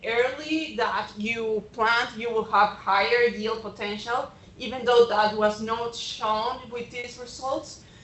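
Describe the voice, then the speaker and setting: Speaking at a very slow pace, a woman with a fairly high pitch is heard against noticeable background noise. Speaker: extension agronomist. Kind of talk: presentation talk. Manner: hesitant, with fillers.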